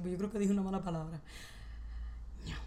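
In an animated tone, a woman speaks at a medium pitch, with audible room echo. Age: 20s. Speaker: podcast co-host. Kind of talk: casual chat.

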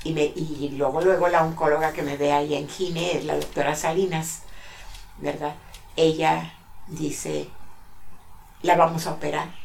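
With long, frequent pauses, a woman speaks fairly slowly in a very deep, low, monotone voice, with audible room echo and noticeable background noise. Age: 70s. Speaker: grandmother sharing life story. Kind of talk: interview, personal testimony.

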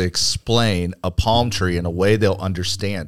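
The speaker has a plain, everyday voice with ordinary pitch variation, at a fairly slow pace. The recording is very clean, with a silent background. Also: man. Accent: American. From Arizona (Phoenix). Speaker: entrepreneur and church leader. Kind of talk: casual chat.

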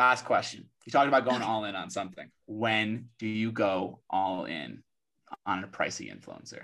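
A man with a fairly low pitch, a bright, sharp tone and an animated manner talks at a moderate pace, with ordinary pitch variation and big swings in loudness. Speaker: podcast co-host, influencer marketing professional. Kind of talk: casual chat. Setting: live audio chat room.

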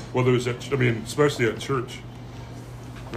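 Noticeable background noise sits behind a man's voice. He speaks at medium pitch with monotone, flat intonation. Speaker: podcast host. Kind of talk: casual chat. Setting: coffee shop.

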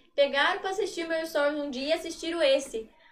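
With ordinary pitch variation, a woman talks at an extremely high pitch. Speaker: content creator. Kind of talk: casual chat.

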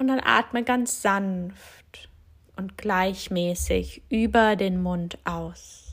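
A somewhat breathy voice speaks at a very slow pace in a calm, soothing tone. The recording is very clean, with a silent background. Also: woman, medium pitch for a woman, ordinary pitch variation. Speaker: yoga teacher and physiotherapist. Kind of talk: guided meditation. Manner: slow, soft, calm and soothing with long pauses; gentle, inviting, addressing listener as du.

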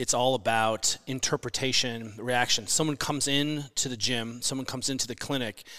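A man with a bright, sharp tone speaks at medium pitch and a fairly quick pace. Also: very clean recording, silent background. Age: 40s. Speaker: physical therapist and fitness coach. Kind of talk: casual chat. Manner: animated.

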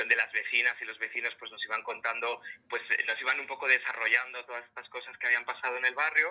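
A man is talking here. His pace is fairly quick. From Madrid, Spain. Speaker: illustrator and storyteller. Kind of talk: casual interview.

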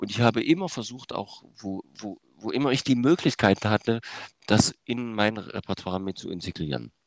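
The sound is dry and close with no echo as a man with a fairly low pitch speaks at a moderate pace with big swings in loudness. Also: lively intonation. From eastern Germany, Saxony. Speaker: music educator and conductor. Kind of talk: interview. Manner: hesitant, many filler sounds.

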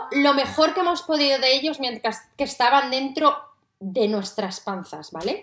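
The voice sounds animated, with lively intonation. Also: woman. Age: 30s. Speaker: podcast host, mother. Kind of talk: casual monologue to listeners.

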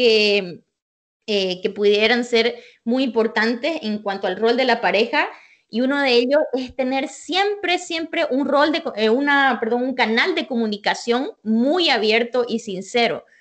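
Her pitch high and her intonation lively, a woman talks at a fairly slow pace. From Bolivia, Santa Cruz. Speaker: bilingualism expert, psychologist. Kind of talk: interview.

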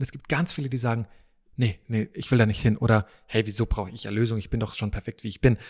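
At a very fast pace, a man with a medium pitch and ordinary pitch variation sounds somewhat breathy, with big swings in loudness and a dry, close sound with no echo. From East Africa (Tanzania, Malawi, Kenya), born in Vienna. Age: 30s. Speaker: preacher. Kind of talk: casual interview. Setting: dining hall at a retreat centre.

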